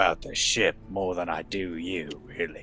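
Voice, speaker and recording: A put-on character voice from a man, raspy and very deep and low in pitch, at a moderate pace over clear background noise. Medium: actual play. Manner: inquisitive, blunt.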